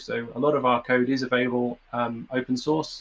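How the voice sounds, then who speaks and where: With a British accent, a man speaks at a moderate pace with fairly even intonation. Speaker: software developer. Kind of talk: conference talk. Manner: halting.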